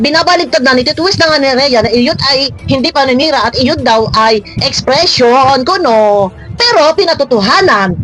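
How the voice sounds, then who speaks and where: A woman's high, animated voice with lively intonation and very even loudness at a moderate pace, with music in the background. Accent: Batangas. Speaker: showbiz gossip commentator vlogger. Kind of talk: reaction commentary vlog. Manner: animated, exclamatory.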